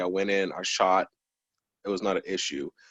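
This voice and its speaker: This is a man speaking with an American accent. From New Jersey. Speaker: probation officer. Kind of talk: interview. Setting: video call.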